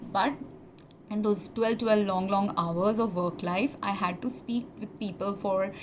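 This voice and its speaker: Her intonation fairly even, a woman talks while noticeable background noise carries on. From India. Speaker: former pharmacist. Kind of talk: personal testimony monologue. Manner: halting, many fillers.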